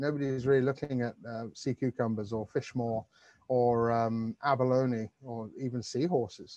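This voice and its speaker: In a British accent, the speaker uses a dark, mellow tone and fairly even intonation at a moderate pace, with a dry sound with no echo and a quiet background. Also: man, medium pitch for a man. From UK, raised in the Mediterranean. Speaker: ocean conservation advocate; presenter. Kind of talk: webinar presentation. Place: garden. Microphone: earbuds.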